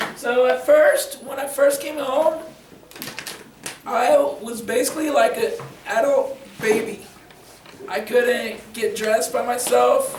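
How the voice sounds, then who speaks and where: A man speaks at a very slow pace with long, frequent pauses. Audible room echo and noticeable background noise fill the recording. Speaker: motivational speaker with spinal cord injury. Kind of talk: talk and Q&A at a school. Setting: school audience.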